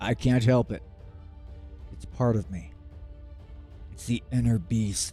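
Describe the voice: A man puts on a character voice, fairly low and rumbling, with very wide pitch swings. He moves at a fairly slow pace with long, frequent pauses over clear background music.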